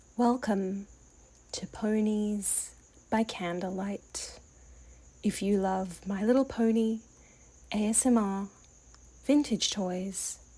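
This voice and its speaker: Soft-spoken and somewhat breathy, a woman with a dark, mellow tone and medium pitch speaks at a very slow pace with long, frequent pauses, in a very clean recording with a silent background. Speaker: toy collector. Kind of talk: soft-spoken ASMR storytelling.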